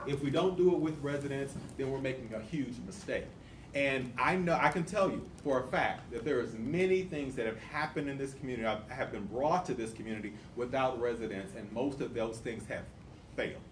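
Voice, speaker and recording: With an American accent, a man talks fairly quickly at a medium pitch with ordinary pitch variation, and audible room echo can be heard. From US South, Tulsa, Oklahoma. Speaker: community nonprofit leader. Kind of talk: community presentation. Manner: fast.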